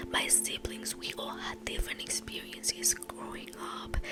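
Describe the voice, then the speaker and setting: Noticeable background noise accompanies a woman whispering at a moderate speed. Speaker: ASMR creator. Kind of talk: casual whispered rambling to camera about her life. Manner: soft, whispered, reflective.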